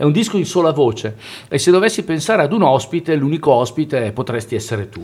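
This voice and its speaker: A man talks at a very fast pace, his pitch swinging very widely. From northern Italy, Valle Camonica (Lombardy). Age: 50s. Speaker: jazz vocalist. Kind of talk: interview. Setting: radio studio.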